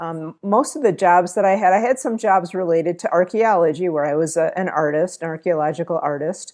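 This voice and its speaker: The setting is quiet. A woman's speech moves at a moderate pace. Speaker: interview guest. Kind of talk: interview answer. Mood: calm, friendly. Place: home room. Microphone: earbuds.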